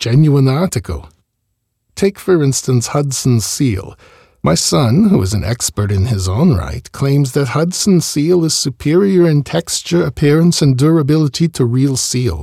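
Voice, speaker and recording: In a dry, close recording with no echo, a man with a dark, mellow, somewhat breathy tone speaks at a medium pitch and moderate pace, with very wide pitch swings. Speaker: podcast host reading an oral history. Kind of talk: reading aloud a 1939 interview transcript in the first person of an elderly furrier.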